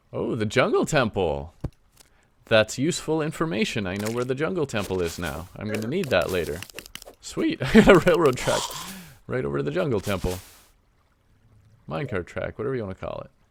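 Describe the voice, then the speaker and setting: A medium-pitched man with a Canadian accent, fairly quick yet full of long, frequent pauses, with very wide pitch swings. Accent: Canadian, noticeable on some words like lava. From Canada. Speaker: gaming video creator. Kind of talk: let's play commentary. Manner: casual, conversational.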